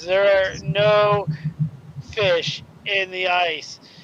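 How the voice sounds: This is a put-on character voice. It sits at a middle pitch and sounds booming.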